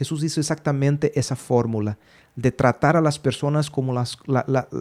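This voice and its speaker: Here a man talks with fairly even intonation. His pitch is fairly high. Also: moderate pace. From Brazil, Belo Horizonte. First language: Portuguese (speaking Spanish). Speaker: podcast host. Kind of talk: casual chat. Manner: halting with fillers.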